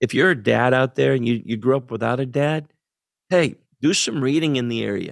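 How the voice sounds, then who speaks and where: An ordinary speaking voice, this man talks with an American accent at a medium pitch, a fairly quick pace and ordinary pitch variation. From central Pennsylvania. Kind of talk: interview conversation.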